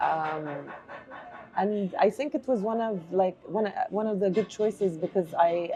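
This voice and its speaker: A woman talks at a fairly slow pace and a medium pitch. Noticeable background noise sits behind her. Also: ordinary pitch variation. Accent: Arabic. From Jordan, Amman (Palestinian family, early childhood in Oman). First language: Arabic. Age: 40s. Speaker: artist. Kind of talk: interview. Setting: bookstore cafe.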